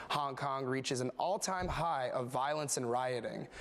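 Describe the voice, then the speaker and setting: A man with an unremarkable speaking voice, fairly high pitch, an American accent and a moderate pace. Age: 20s. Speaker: news anchor and reporter. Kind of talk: broadcast news anchor read. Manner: polished, clear.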